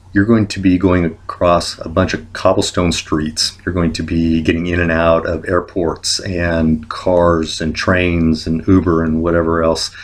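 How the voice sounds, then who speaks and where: A man's very deep, low voice, at a fairly slow pace with fairly even intonation. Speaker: travel vlogger. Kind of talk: tutorial. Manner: many filler words.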